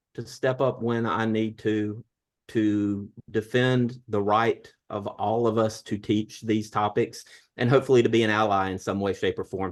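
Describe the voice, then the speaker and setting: The background is quiet as a man speaks. His pitch is medium, and his intonation fairly even. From US South, southern Alabama. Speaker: history professor. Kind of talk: online panel discussion.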